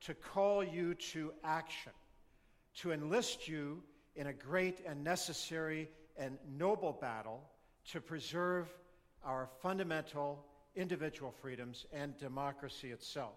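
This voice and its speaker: A man with a Canadian accent has a normal speaking voice and a fairly high pitch. He talks at a fairly slow pace with ordinary pitch variation. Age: 60s. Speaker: political speaker. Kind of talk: public speech.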